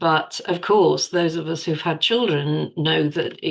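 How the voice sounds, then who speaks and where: Over a quiet background, a woman with an ordinary speaking voice talks at a moderate pace, her fairly low pitch held in fairly even intonation. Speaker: podcast co-host. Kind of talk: podcast host conversation.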